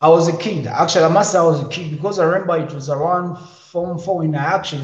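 With audible room echo, a man talks in a high voice and a fairly even intonation. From Uganda. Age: 20s. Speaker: musician and comedian. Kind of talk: interview.

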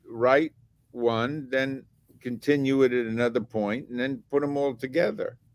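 A man speaks with an American accent at a fairly high pitch. His pace is very slow. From US Northeast, Atlantic City, New Jersey. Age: 80s+. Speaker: television writer and director. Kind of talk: casual interview. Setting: video call.

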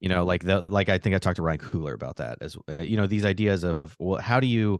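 Very fast speech with an American accent and ordinary pitch variation comes through dry and close, with no echo, over a quiet background. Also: man. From Arizona (Phoenix). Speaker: late-night comedy writer. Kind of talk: casual chat. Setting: video call. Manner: halting, many fillers and repeats.

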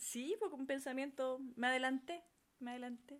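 A woman with a Chilean accent, high-pitched, at a fairly slow pace. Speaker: podcast co-host. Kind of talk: casual chat.

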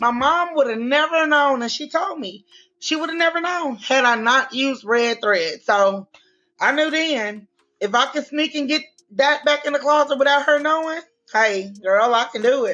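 A high-pitched woman with a Louisiana accent at a moderate pace. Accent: US Southern, Louisiana. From Louisiana, Shreveport. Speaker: fashion designer. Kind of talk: interview.

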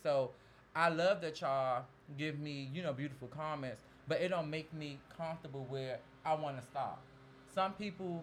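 In an American accent, a man with an ordinary speaking voice and fairly high pitch speaks at a moderate pace with fairly even intonation. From DMV area (Washington DC region). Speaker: celebrity makeup artist. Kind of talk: casual interview chat.

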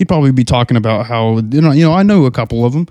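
The clip features a natural reading voice.

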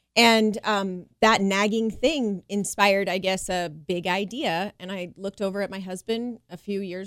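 A woman talks with an ordinary speaking voice at a moderate pace. Her pitch is medium, with ordinary variation. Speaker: chiropractor. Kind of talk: radio interview.

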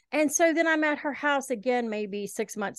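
A woman's high-pitched voice in a Southern US accent, with lively intonation at a moderate pace, in a dry, close sound with no echo and a quiet background. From Eastern Kentucky, raised in Shelby County, Alabama. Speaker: podcast host. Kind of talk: casual interview chat.

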